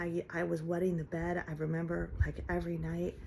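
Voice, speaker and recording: Somewhat breathy and dark, mellow in tone, a woman with an American accent talks at a fairly quick pace. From Ohio, US. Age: 50s. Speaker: vlogger. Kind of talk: personal vlog monologue. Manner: halting, with fillers and restarts.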